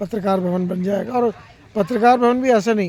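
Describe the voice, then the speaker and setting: A man with a high-pitched voice talks with fairly even intonation. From Madhya Pradesh, India (Narmadapuram district village). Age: 60s. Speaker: senior journalist. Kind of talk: public address on journalists' issues.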